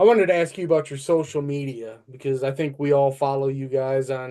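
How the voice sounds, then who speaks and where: A man's dark, mellow tone with a Midwestern accent, fairly high pitch, and fairly even intonation. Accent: Midwestern, noticeable. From Michigan, near Flint. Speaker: podcast co-host. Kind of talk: casual interview chat.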